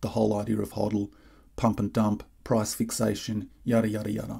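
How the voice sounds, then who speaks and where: A somewhat breathy male voice, dark and mellow in tone, at a moderate pace. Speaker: crypto commentator. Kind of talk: video monologue.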